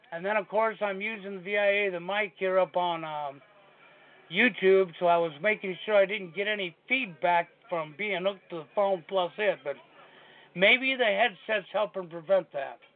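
Moderate pace and ordinary pitch variation from a man with a high-pitched voice. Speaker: online radio host. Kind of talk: casual chat. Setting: video call.

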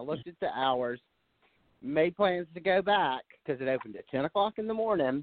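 An ordinary speaking voice from a man, with lively intonation at a moderate pace. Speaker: sound engineer. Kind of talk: casual chat.

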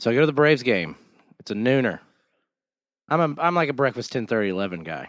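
Talking at a very fast pace with long, frequent pauses, a man uses a medium pitch that makes very wide swings. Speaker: podcast co-host. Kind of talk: casual chat. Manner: jokey, interrupts often.

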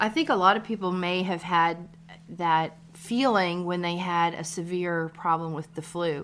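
A woman with a normal speaking voice talks at a fairly low pitch and a fairly slow pace, her intonation fairly even. The recording is very clean, with a silent background. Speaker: nurse practitioner and midwife, podcast co-host. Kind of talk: casual chat. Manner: laughs often, playful.

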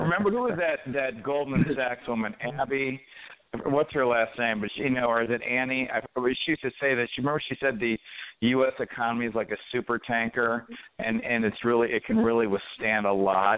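Using an American accent, a man talks at a fairly quick pace with medium pitch and ordinary pitch variation in an ordinary speaking voice. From Detroit. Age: 50s. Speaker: author and entrepreneur. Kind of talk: casual chat. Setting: phone call.

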